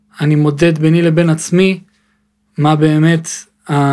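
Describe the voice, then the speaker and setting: Monotone and flat, a man's high-pitched voice keeps a moderate pace. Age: 20s. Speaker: podcast host. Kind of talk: casual chat. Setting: studio.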